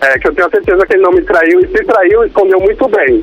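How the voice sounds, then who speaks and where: There is noticeable background noise here. A man talks over it. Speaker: caller. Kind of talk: phone call-in chat. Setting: phone call.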